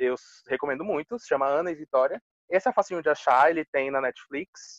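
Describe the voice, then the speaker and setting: A man's normal speaking voice at a moderate pace, with ordinary pitch variation and a dry, close sound with no echo. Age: 20s. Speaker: English teacher. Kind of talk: casual chat.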